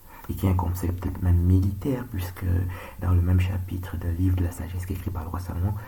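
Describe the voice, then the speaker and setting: Soft-spoken and calm in tone, a man talks at a very deep, low pitch in a monotone, flat intonation, with audible room echo. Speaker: surgeon making monologue videos. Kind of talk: monologue video rant. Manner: slow, calm.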